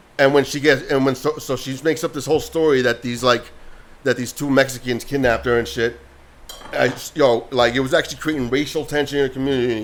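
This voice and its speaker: A man speaks at a very fast pace with a medium pitch. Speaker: podcast co-host. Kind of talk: casual chat. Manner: loud; animated.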